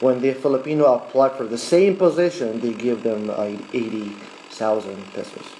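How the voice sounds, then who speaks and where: Speaking with an Arabic accent, a man talks at a medium pitch and a moderate pace with ordinary pitch variation. There is noticeable background noise. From Middle East, Arabic-speaking. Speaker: vlogger. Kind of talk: casual live talk. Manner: hesitant, many fillers.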